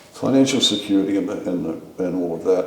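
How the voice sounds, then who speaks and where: A man in an Australian accent talks at a very fast pace, with audible room echo and noticeable background noise. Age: 70s. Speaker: war veteran. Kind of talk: interview.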